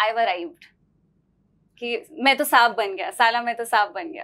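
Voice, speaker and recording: Her tone bright and sharp, a woman speaks at a high pitch. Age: 30s. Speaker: podcast host. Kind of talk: interview; interview question. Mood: warm, lively, curious. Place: studio.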